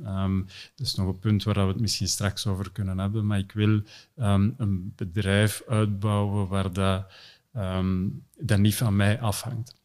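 Against a quiet background, a man speaks very slowly with a fairly low pitch and fairly even intonation. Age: 30s. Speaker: company CEO; podcast guest. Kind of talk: interview conversation. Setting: in person studio. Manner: hesitant with many fillers. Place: home room. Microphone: studio mic.

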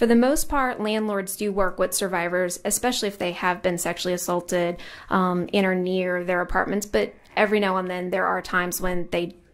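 This woman's pitch moves in an ordinary way. She speaks fairly quickly. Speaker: witness. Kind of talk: testimony explaining a bill. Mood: calm, professional. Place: hall. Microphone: podium.

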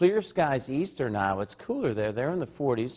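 The speaker is a man with a medium-pitched voice who talks at a moderate pace. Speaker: TV meteorologist. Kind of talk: morning TV weather forecast. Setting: TV studio. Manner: brisk, conversational delivery rattling off temperatures and towns; friendly, folksy tone with casual asides. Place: studio. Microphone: lapel.

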